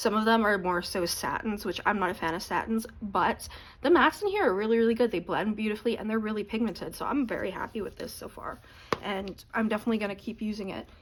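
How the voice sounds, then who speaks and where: Against noticeable background noise, a woman talks at a very fast pace with a fairly high pitch and ordinary pitch variation. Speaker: beauty YouTuber. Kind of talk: product unboxing review. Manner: casual, chatty.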